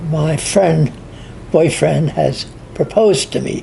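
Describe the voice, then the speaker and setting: Noticeable background noise sits beneath speech delivered at a fairly slow pace. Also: man. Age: 80s+. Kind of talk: storytelling in family conversation.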